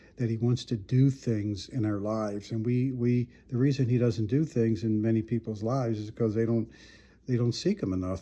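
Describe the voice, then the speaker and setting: A man with an American accent speaks at a fairly quick pace in a medium-pitched, somewhat breathy voice with a dark, mellow tone. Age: 70s. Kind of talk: personal testimony monologue. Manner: halting, many repetitions.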